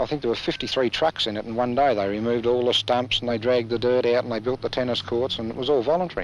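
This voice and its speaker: A man's medium-pitched voice in a rural Australian accent, very fast with hardly any pauses and fairly even intonation, over noticeable background noise. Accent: broad rural Australian. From Australia, rural Victoria (Boort). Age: 40s. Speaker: country newspaper editor. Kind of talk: interview. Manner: relaxed, conversational.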